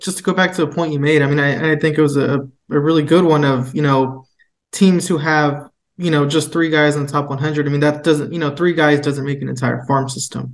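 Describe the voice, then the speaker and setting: Moving at a fairly quick pace, a man talks in a fairly high, monotone voice with flat intonation. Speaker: podcast co-host and baseball reporter. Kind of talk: casual interview. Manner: halting, searching for words.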